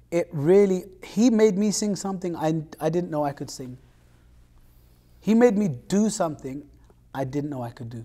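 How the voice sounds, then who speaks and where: With a London accent, a man talks at a moderate pace in a high pitch and a dark, mellow tone, his intonation lively, his loudness swinging widely, and his speech broken by long, frequent pauses. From London, England. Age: young. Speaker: singer. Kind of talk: interview.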